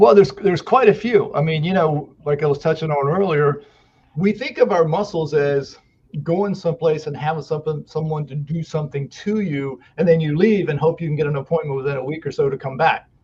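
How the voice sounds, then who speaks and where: A normal speaking voice from a man, fairly high in pitch, at a fairly quick pace with ordinary pitch variation. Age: 60s. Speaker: muscle therapist. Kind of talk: podcast interview. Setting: podcast interview.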